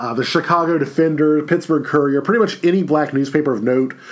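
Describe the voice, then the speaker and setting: A man with a fairly high voice is heard with audible room echo and noticeable background noise. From Louisiana, Baton Rouge. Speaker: history professor. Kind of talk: recorded lecture. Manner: casual, filler-heavy.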